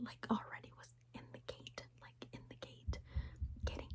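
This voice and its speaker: Whispering, a woman speaks. Her pace is fairly slow. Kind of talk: ASMR whisper storytelling to camera. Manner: whispered, chatty.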